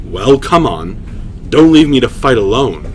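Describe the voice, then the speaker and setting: Over clear background noise, a man does a put-on character voice at medium pitch and a moderate pace. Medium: read story.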